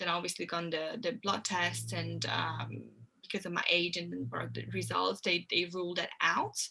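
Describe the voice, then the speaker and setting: This woman speaks with a Hungarian accent. Her pace is moderate. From Hungary. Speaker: health coach. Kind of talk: interview.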